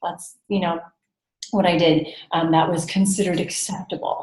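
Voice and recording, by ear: A woman's fairly low, slightly mellow voice in a Californian accent, with little pitch movement and audible room echo. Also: moderate pace. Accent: American, Californian.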